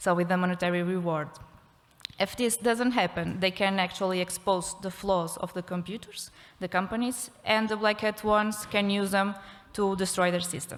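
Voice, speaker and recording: A woman with a Portuguese accent talks at a moderate pace in a medium pitch, keeping her intonation fairly even. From Portugal. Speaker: criminology researcher. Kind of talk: conference talk. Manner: halting.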